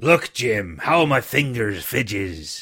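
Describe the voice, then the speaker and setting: A raspy, put-on character voice speaks at a fairly slow pace on a very clean recording with a silent background. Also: man. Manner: pleading.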